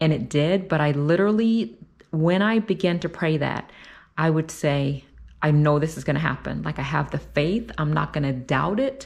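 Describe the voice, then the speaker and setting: Her voice is very deep and low for a woman. She speaks at a moderate pace with ordinary pitch variation. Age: 40s. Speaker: faith vlogger; vlogger sharing faith. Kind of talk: personal vlog talk. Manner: casual, with many fillers. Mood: warm, upbeat, inspirational. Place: kitchen. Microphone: phone near.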